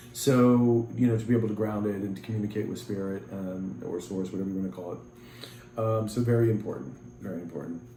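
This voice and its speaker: Talking at a fairly quick pace with ordinary pitch variation, a man with a fairly low pitch is heard with audible room echo. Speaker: tarot reader. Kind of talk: tarot reading.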